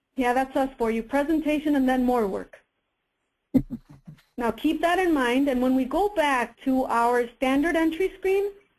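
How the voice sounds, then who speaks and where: Her pitch is high and her loudness very even. The woman keeps a moderate pace with ordinary pitch variation. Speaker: software presenter. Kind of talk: webinar product demo.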